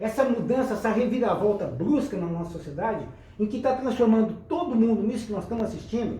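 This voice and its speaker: Against noticeable background noise and audible room echo, a man talks at a very fast pace in a high pitch with ordinary pitch variation. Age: 60s. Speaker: local historian, nostalgia show host. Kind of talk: casual group chat, reminiscing.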